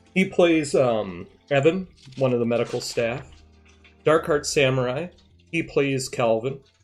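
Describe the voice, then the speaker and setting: A man speaks with a slight Upper Midwest accent and a fairly high pitch. His pitch varies in an ordinary way. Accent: slight northern Midwest. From US Midwest, near Canadian border. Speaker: gaming streamer and role-player. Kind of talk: casual stream chat. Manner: fast.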